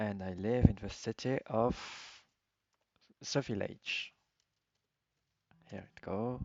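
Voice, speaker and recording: Speaking with a strong French accent, a man goes at a very slow pace with long, frequent pauses, fairly even intonation and big swings in loudness. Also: medium pitch for a man. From France. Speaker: video game streamer. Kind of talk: casual game commentary. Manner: halting, many fillers.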